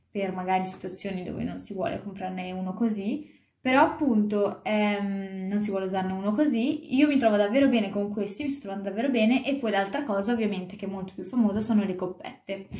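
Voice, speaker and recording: Speaking at a very fast pace, a woman sounds somewhat breathy, with ordinary pitch variation. There is audible echo in the room. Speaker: vlogger. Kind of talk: casual vlog chat. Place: home room. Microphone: phone near.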